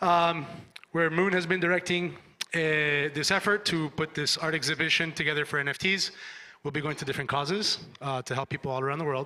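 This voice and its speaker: Loud and very fast, this man's voice has a fairly high pitch, a bright, sharp tone and ordinary pitch variation. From Cuban family. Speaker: event organizer. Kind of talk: conference talk. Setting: stage with audience.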